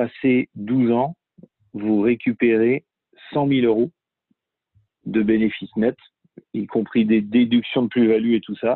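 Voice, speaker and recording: His pitch is medium for a man. The intonation is fairly even. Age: 30s. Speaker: real estate investor and author. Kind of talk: interview. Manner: halting, many repetitions.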